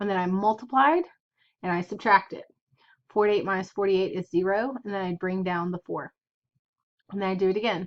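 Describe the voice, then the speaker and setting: Her voice is an unremarkable speaking voice, medium in pitch, moving at a moderate pace. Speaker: math teacher. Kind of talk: lecture.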